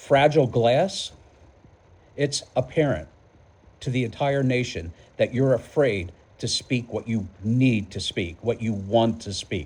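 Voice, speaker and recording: A somewhat breathy man with an American accent, medium in pitch, fairly slow with long, frequent pauses and lively intonation. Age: 60s. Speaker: political vlogger. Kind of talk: political commentary monologue. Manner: halting, repeats words.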